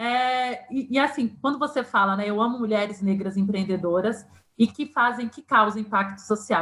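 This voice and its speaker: Using a normal speaking voice, a woman talks at a fairly quick pace, fairly high in pitch, with ordinary pitch variation. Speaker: podcast host. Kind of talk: podcast interview conversation.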